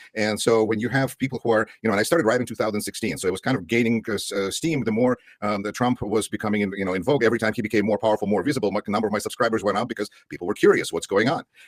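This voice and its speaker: A man with a Russian accent at a medium pitch, very fast and with hardly any pauses, fairly even intonation and a dry, close sound with no echo. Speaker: political commentator. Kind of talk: interview.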